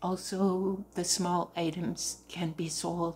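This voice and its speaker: At a very slow pace, a somewhat breathy voice speaks with fairly even intonation over light background noise. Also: woman. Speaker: crafter vlogger. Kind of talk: casual vlog chat. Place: home room. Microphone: phone near.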